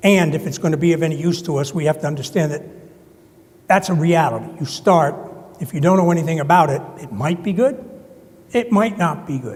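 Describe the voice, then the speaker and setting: A high-pitched man with a New Jersey accent talks at a fairly quick pace, with long, frequent pauses, audible room echo and noticeable background noise. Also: ordinary pitch variation. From US Northeast, New Jersey. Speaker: conference presenter. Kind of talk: conference presentation.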